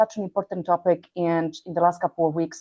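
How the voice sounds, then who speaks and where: A woman speaks in a Polish accent. Her pitch is medium. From Poland. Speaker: healthcare executive. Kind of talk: interview. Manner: halting, with many fillers.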